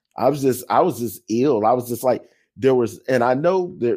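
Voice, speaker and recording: The speaker has an American accent, a dark, mellow tone and ordinary pitch variation. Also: man. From US South. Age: 50s. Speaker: podcast co-host and fan. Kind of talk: casual chat.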